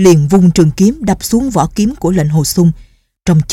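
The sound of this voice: There is a quiet background behind an unforced reading voice.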